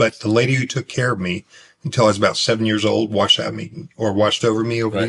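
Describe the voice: Very fast speech from a man with a northern Pennsylvania accent, medium pitch and fairly even intonation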